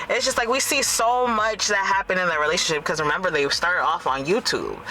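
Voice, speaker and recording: A woman speaks while noticeable noise runs in the background. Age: 20s. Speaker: vlogger. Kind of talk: casual chat. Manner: animated.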